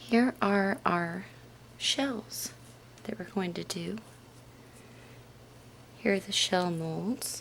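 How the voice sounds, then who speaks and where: A soft-spoken woman talks in a gentle tone at medium pitch with lively intonation. Her pace is very slow, with long, frequent pauses. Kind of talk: ASMR soft-spoken soapmaking demonstration. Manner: gentle, soft-spoken.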